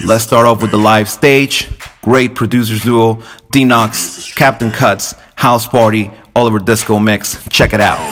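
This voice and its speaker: Over noticeable background noise, a man speaks with very even loudness. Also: medium pitch for a man. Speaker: radio DJ. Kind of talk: radio DJ patter. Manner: upbeat, friendly, rapid-fire plugs and track intros.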